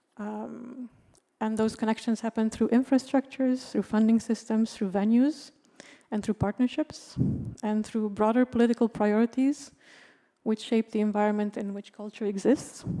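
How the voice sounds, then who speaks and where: Her fairly high voice carries a dark, mellow tone and fairly even intonation. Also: moderate pace. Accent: Romanian. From Romania. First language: Romanian. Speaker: panelist, art worker. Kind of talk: panel talk. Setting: stage with audience.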